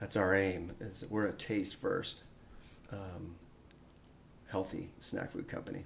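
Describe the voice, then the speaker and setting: A man speaks at a very slow pace with long, frequent pauses. His voice is fairly low, somewhat breathy and fairly even in intonation. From Vermont, US Northeast. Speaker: snack company founder. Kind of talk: casual interview. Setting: studio.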